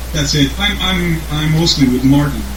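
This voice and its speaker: Room echo can be heard, along with background noise that stands out. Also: man. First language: Slovene. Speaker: band songwriter and musician. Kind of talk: interview. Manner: halting.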